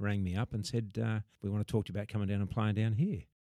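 The voice has a dark, mellow tone and an Australian accent. The sound is dry and close with no echo, on a very clean recording with a silent background. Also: man. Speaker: former rugby league player. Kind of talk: interview.

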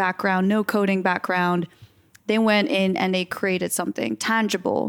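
In an American accent, a woman with a medium pitch speaks in fairly even intonation, recorded very cleanly against a silent background with a dry, close sound and no echo. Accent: American-sounding. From grew up in nine different countries, Dutch adoptee. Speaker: filmmaker and XR producer. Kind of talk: interview.

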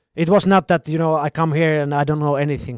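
Fairly high pitch from a man with a Finnish accent, fairly even intonation, dry, close sound with no echo, and a very clean recording with a silent background. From Finland. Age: 30s. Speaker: professional footballer. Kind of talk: interview.

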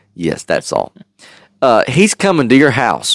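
A man's vocal fry at a fairly slow pace. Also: dry, close sound with no echo. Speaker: podcast host and Bible teacher. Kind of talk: casual Bible-study podcast chat, with scripture read aloud. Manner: conversational, laughing, with fillers; reads the King James verses aloud with a steady, earnest cadence.

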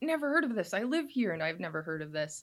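In a very clean recording with a silent background, a woman with an American accent talks at a very fast pace with very wide pitch swings. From Wisconsin, US Midwest. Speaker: social media creator on local paranormal history. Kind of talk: casual interview. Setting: studio.

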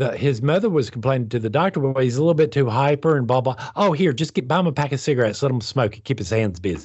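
The speaker races along at a very fast pace with hardly any pauses, somewhat breathy and with lively intonation. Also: man, medium pitch for a man. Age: 50s. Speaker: podcast co-host discussing spirituality. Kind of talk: casual chat.

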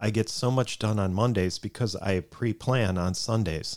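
Fairly slow and with ordinary pitch variation, this is an ordinary speaking voice. The recording is very clean, with a silent background. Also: man. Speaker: podcast co-host. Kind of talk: casual chat.

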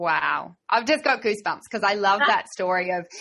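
Fairly quick speech with an Australian accent and ordinary pitch variation. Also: woman. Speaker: podcast host and riding trainer. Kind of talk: interview conversation. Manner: animated.

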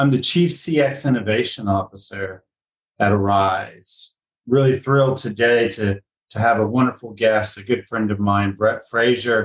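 A somewhat breathy man's voice at medium pitch, fairly slow in pace, with ordinary pitch variation. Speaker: podcast host. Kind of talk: interview.

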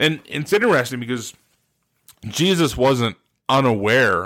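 A man with an American accent speaks at a fairly slow pace in a bright, sharp tone with ordinary pitch variation. The recording is very clean, with a silent background. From Ohio (Steubenville). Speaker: pastor. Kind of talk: sermon-style podcast talk. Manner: casual, many filler uhs.

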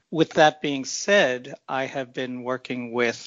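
A man's medium-pitched, fairly slow delivery in an American accent, an ordinary speaking voice. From New York City. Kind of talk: interview.

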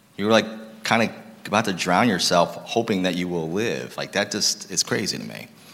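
A man speaks at a fairly low pitch in an animated tone. Noticeable background noise runs underneath. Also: ordinary pitch variation, moderate pace. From Massachusetts (Lowell). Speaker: guest speaker. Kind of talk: sermon testimony. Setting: church stage with audience.

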